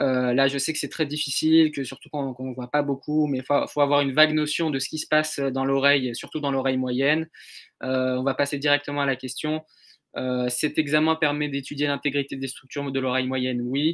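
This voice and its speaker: Against a quiet background, a man speaks at a fairly high pitch. His intonation is monotone and flat. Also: fairly quick pace. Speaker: medical intern lecturer, neuro and ENT imaging; medical intern lecturer. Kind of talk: online lecture. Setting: live stream video call. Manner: fast. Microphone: webcam.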